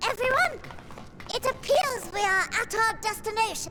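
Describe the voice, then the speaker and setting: This is a put-on character voice, squeaky in sound. The pitch is extremely high. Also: moderate pace. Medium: video game. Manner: authoritative.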